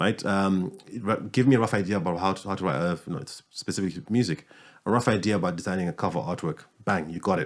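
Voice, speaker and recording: A man's very deep, low voice at a very fast pace, on a very clean recording with a silent background. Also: ordinary pitch variation. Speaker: podcast host, music business owner. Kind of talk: podcast host conversation.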